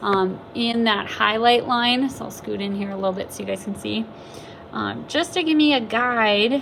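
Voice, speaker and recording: Noticeable background noise under a fairly high female voice, moderate in pace, with ordinary pitch variation. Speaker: art teacher. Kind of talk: tutorial. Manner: casual with fillers.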